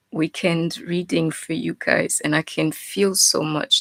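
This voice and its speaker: At a fairly slow pace, the voice shows vocal fry and ordinary pitch variation in a very clean, dry, close recording with a silent background and no echo. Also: woman. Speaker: tarot reader. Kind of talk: tarot reading. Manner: casual, conversational.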